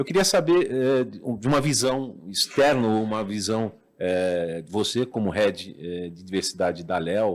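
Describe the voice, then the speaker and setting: A man with a fairly low pitch speaks at a fairly slow pace, his intonation lively and his loudness swinging widely. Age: 60s. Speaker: advertising agency partner, audience questioner. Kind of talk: Q&A question after a talk. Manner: halting, many repetitions and fillers.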